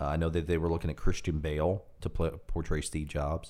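A man's voice, very deep and low, with a dark, mellow tone. The recording is very clean, with a silent background. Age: 20s. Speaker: podcast host, former news anchor. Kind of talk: casual chat.

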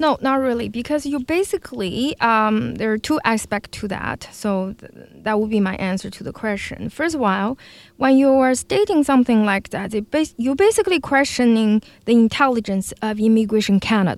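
A woman with a Chinese accent, fairly high in pitch, at a moderate pace, with ordinary pitch variation and big swings in loudness, in a very clean recording with a silent background. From Beijing, China. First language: Mandarin Chinese. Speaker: former dancer, arts education business owner. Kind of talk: radio interview.

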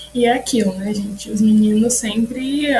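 Music plays in the background as a woman speaks at a moderate pace in a monotone, flat intonation. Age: 20s. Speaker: podcaster and collective member. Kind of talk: casual chat.

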